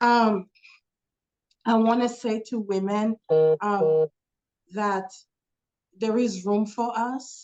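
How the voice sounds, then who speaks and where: At a very slow pace, a woman with a fairly high pitch speaks in fairly even intonation, leaving long, frequent pauses. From Congo. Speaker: dentist. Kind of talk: interview. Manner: hesitant, many fillers.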